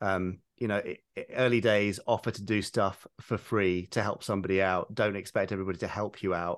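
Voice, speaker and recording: The speaker has a British accent and a monotone, flat intonation. The pace is moderate, against a quiet background. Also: man. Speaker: writer, producer and director. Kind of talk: casual interview chat.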